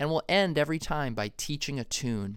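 A normal speaking voice with an American accent moves at a moderate pace in a very clean recording with a silent background. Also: man. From Massachusetts, US. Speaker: jazz podcast host and music teacher. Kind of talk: tutorial.

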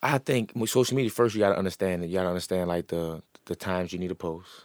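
A man with a very deep, low pitch at a very fast pace, on a very clean recording with a silent background. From New Orleans. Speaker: entrepreneur. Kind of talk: interview.

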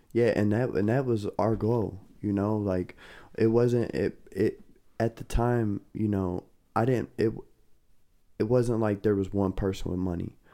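A man speaks at a fairly slow pace in a fairly low, dark and mellow voice, with fairly even intonation and long, frequent pauses. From Kentucky. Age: 20s. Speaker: former drug dealer sharing life story. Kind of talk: casual interview.

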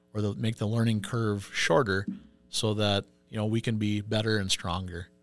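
A man with an Upper Midwest accent talks at a moderate pace with a fairly low pitch and fairly even intonation, on a very clean recording with a silent background. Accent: Upper Midwest (Minnesota). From Minnesota, Pine City. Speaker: union business agent. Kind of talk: interview.

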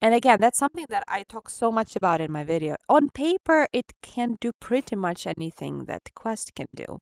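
In a Ukrainian accent, a woman speaks at a moderate pace in a fairly high voice, with very wide pitch swings and big swings in loudness. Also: dry, close sound with no echo. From Ukraine. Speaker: VR content creator. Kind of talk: casual chat. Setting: video call.

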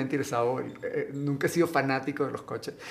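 Noticeable background noise behind a man at a very fast pace. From Venezuela. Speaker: actor and model. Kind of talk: casual interview.

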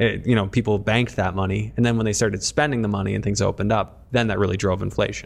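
Using vocal fry, a man with a fairly low voice speaks at a very fast pace. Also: ordinary pitch variation. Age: 30s. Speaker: podcast host. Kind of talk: casual chat.

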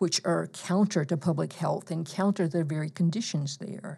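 Against a quiet background, a woman with an American accent speaks in a fairly low pitch with a dark, mellow tone and ordinary pitch variation. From US South, eastern Alabama. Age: 60s. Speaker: professor. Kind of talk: interview.

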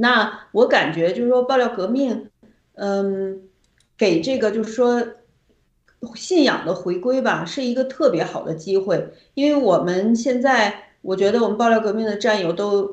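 At a fairly slow pace, a woman speaks with a plain, everyday voice. Her pitch is fairly high, with ordinary variation. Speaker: activist guest. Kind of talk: casual chat.

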